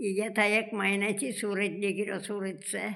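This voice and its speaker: Monotone and flat, a woman's voice stays at a medium pitch. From rural Gujarat. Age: 80s+. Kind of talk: interview answer.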